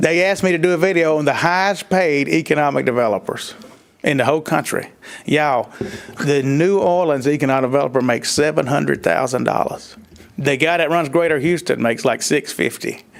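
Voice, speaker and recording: This man has a strong Southern accent and a fairly high pitch, talking at a fairly quick pace with ordinary pitch variation. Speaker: economic development consultant. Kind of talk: public meeting discussion. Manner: casual, folksy.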